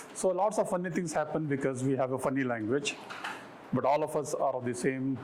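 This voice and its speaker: A man talks at a fairly quick pace with ordinary pitch variation, over noticeable background noise and with audible room echo. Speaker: professor. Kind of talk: lecture. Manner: fast.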